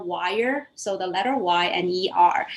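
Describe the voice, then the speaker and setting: Noticeable background noise behind a woman's medium-pitched voice. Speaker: community founder. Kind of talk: storytelling talk.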